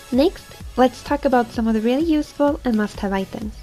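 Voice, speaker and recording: A woman at a very fast pace over music in the background. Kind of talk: game guide narration.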